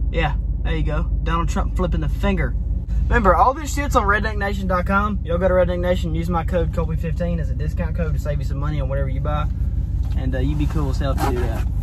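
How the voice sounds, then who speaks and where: A very fast male voice, dry with no echo, amid noticeable background noise. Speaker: vlogger. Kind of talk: casual vlog chat. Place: car. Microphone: phone near.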